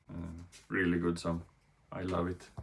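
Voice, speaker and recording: A man with a Swedish accent, very deep and low in pitch, in a monotone, flat intonation at a fairly slow pace. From Sweden. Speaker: vinyl record YouTuber. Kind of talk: casual video monologue. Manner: halting, many fillers.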